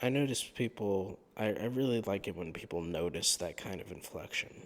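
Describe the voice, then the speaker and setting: His pitch is fairly low. The man's pace is fairly slow. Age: 20s. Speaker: YouTuber. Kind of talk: sleep talk monologue. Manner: calm, mundane tone; hesitant, many fillers. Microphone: new better microphone.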